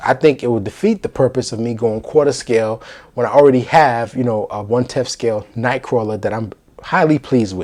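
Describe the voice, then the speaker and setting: A man with a medium pitch speaks at a fairly quick pace with ordinary pitch variation. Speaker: collectibles youtuber. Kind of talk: casual review vlog. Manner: hesitant fillers.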